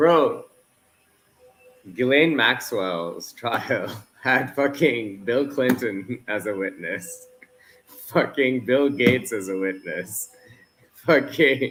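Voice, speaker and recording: A man talks very slowly, pausing often and at length, while music plays behind him. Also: medium pitch for a man, lively intonation. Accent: Canadian. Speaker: football watchalong co-host. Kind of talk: casual chat. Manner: animated.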